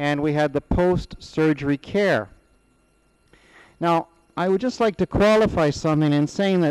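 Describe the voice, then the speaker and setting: In a plain, everyday voice, a man speaks at a moderate pace with lively intonation. The recording is dry and close, without echo. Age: 60s. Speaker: school principal, patient testimonial. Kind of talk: testimony.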